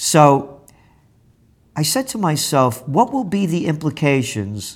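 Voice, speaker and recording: A man with a New York accent speaks at a fairly slow pace on a very clean recording with a silent background. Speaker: trends forecaster and publisher. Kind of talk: interview.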